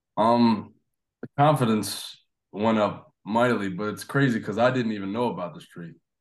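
An American man with an unremarkable speaking voice talks at a moderate pace and medium pitch, with ordinary pitch variation and big swings in loudness. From New Jersey. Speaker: college baseball player. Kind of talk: interview.

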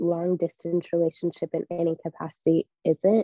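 A woman with a fairly low pitch has a plain, everyday voice. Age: 20s. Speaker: events company operations worker. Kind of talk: casual chat.

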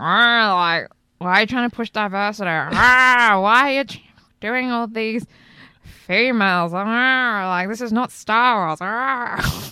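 In a put-on character voice, a female-sounding voice with fairly high pitch speaks at a very slow pace. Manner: whiny, indignant.

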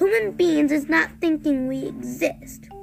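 A woman's put-on character voice, high in pitch with vocal fry and a slightly mellow tone, fairly slow, with ordinary pitch variation and faint music in the background

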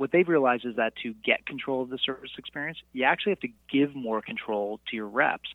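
Talking at a very fast pace, a man holds a medium pitch with ordinary pitch variation. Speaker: author and podcast guest. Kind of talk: business discussion. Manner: fast talker.

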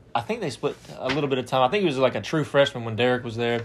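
A man with an Alabama accent talks at a very fast pace, his medium pitch showing ordinary variation. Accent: Southern US (Alabama). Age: 20s. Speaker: sports podcast host. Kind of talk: casual chat.

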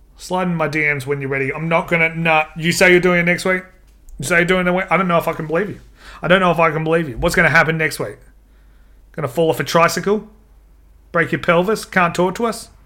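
With an Australian accent, a man with a high voice talks very fast in a bright, sharp, animated tone, broken by long, frequent pauses. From Australia, Adelaide. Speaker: podcast host. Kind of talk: casual chat.

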